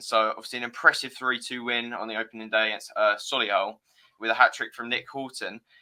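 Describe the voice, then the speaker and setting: Speaking with a southern English accent, a man goes at a very fast pace. His intonation is monotone and flat. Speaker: football podcast host. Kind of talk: casual chat.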